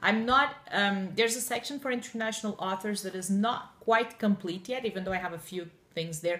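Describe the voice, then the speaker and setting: A woman with a Portuguese accent talks at a moderate pace. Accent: Portuguese, often taken for French Canadian. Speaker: book blogger. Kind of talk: casual chat.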